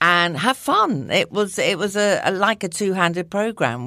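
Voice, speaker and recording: In a southern English accent, a woman speaks at a moderate pace on a very clean recording with a silent background. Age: 60s. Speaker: nutritionist and lifestyle blogger. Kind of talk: casual interview chat.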